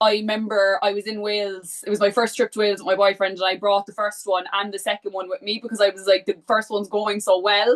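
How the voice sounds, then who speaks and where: A woman with a Cork accent talks at a very fast pace with hardly any pauses. Her medium-pitched voice stays flat and monotone. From Ireland, Cork. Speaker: book content creator. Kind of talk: casual chat.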